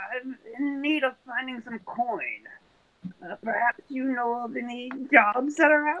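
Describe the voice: A man's put-on character voice, raspy and extremely high-pitched, at a fairly slow pace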